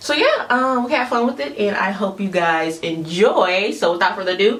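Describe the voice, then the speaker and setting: A woman speaks with lively intonation at a moderate pace and medium pitch while noticeable background noise carries on. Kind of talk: casual talk to camera.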